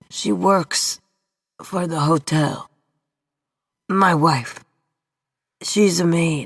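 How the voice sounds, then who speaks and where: A put-on character voice that sounds female, raspy and middle-pitched, speaks at a very slow pace with long, frequent pauses. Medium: read story. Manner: desperate, insistent.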